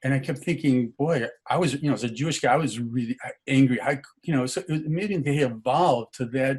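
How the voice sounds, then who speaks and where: Somewhat breathy and fairly quick, a man speaks with ordinary pitch variation. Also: medium pitch for a man. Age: 70s. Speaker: meditation session participant. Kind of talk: casual sharing in group call. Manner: halting, many fillers.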